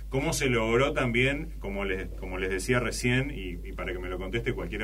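A man speaks at a fairly quick pace while noticeable background noise runs underneath. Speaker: podcast host. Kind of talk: casual interview. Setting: studio, in person.

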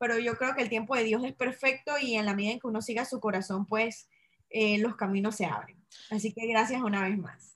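In a Panamanian accent, a woman talks at a fairly quick pace. Her pitch is fairly high, and her intonation stays fairly even. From Panama, Chitré (interior). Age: 30s. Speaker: entrepreneur selling essential oils. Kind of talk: interview.

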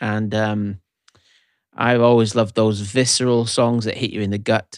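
On a very clean recording with a silent background and a dry, close sound with no echo, a man speaks at a moderate pace in a fairly low pitch with monotone, flat intonation. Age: 40s. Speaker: pastor and songwriter. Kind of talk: casual chat.

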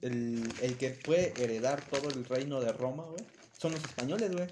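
A normal speaking voice from a man, fairly high in pitch, with lively intonation. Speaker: podcast co-host. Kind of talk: casual chat.

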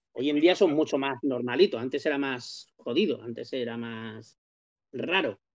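An ordinary speaking voice from a man, fairly high in pitch, with lively intonation and big swings in loudness. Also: fairly slow pace. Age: 50s. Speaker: comics podcast panelist. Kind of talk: casual chat.

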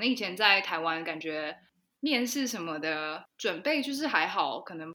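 At a moderate pace, a woman speaks with lively intonation and a bright, sharp tone on a very clean recording with a silent background. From Taiwan. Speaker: podcast co-host. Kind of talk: casual chat.

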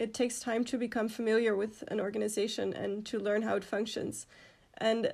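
Recorded very cleanly with a silent background, a woman speaks fairly quickly in a Dutch accent, her fairly high voice showing vocal fry and a monotone, flat intonation. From Netherlands. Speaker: student organization president. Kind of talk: interview.

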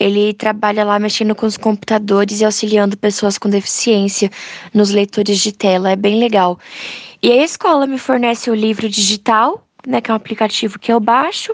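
Over noticeable background noise, a woman speaks at a moderate pace in a fairly high pitch. Her intonation stays fairly even, and the sound is dry and close with no echo. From Brazil, São Paulo state. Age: young. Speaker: visually impaired student. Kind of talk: interview.

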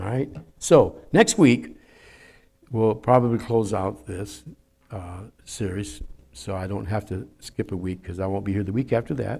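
A man speaks with vocal fry in a dark, mellow tone, his loudness swinging widely and his long pauses coming often, on a very clean recording with a silent background. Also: lively intonation, moderate pace. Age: 70s. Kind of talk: sermon. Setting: church.

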